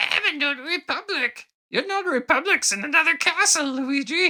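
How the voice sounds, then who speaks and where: A squeaky, high-pitched put-on character voice at a moderate pace. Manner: fussy, pedantic.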